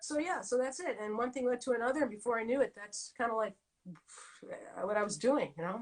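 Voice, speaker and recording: This speaker talks at a very fast pace with a Boston accent. The tone is animated and the intonation lively. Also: woman. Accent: New England (Boston area) American. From New England. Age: 60s. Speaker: decorative painter. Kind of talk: casual interview chat.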